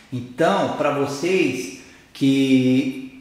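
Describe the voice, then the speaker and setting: A man with a fairly high voice speaks with ordinary pitch variation. Audible room echo and noticeable background noise are present. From Brazil. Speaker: sports training coach. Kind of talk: lecture.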